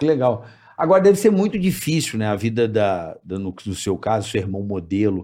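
At a moderate pace, a man with a fairly low pitch and a dark, mellow tone speaks with lively intonation. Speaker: podcast host. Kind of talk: casual chat. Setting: studio. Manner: animated, jokey.

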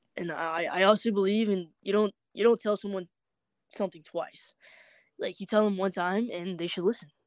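A woman with an American accent has an unremarkable speaking voice at a medium pitch, talking at a moderate pace with fairly even intonation in a dry, close sound with no echo. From Georgia (US South). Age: 20s. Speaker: live streamer. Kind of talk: casual interview.

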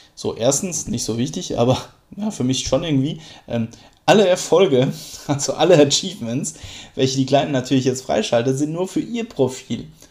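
A man of medium pitch uses lively intonation at a moderate pace, leaving long, frequent pauses. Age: 30s. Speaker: podcaster and gaming dad. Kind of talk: casual monologue. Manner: hesitant with fillers.

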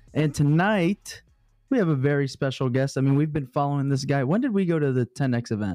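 Over music in the background, a man talks at a fairly quick pace with a fairly high pitch, ordinary pitch variation and very even loudness, the sound dry and close with no echo. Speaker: podcast co-host. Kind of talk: casual live show. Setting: live stream.

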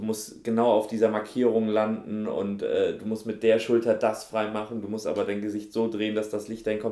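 A man talks at a fairly low pitch with a dark, mellow tone. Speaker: actor. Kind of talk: casual chat. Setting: video interview, studio.

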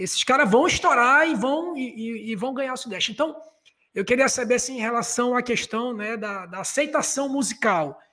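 Using a raised, projected voice, a man speaks at a moderate pace with an extremely high pitch and a bright, sharp tone. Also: ordinary pitch variation. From Belém, Pará. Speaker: podcast host. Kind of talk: casual chat. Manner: halting.

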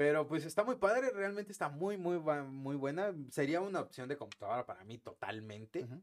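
A man with a Mexican accent talks fairly quickly at a fairly high pitch, swinging widely in pitch with hardly any pauses. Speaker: tech podcast host. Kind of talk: casual chat.

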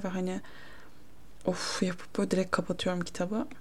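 The speaker is a woman with a dark, mellow tone. She talks at a moderate pace. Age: 20s. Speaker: solo podcaster. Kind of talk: casual monologue. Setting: home, her bedroom. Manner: casual, self-interrupting.

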